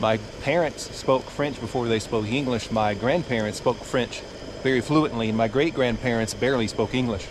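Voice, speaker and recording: Noticeable background noise sits behind a man's medium-pitched voice. His loudness stays very even, with ordinary pitch variation. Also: moderate pace. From US South, South Louisiana (Cajun). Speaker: travel vlogger. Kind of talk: cooking tutorial. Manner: casual.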